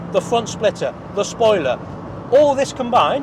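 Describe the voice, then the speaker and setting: A man with a British accent talks at a moderate pace. The sound is dry with no echo, though noticeable background noise is present. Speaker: car reviewer. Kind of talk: car review to camera while driving. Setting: in a car. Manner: loud; enthusiastic. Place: car. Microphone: lapel.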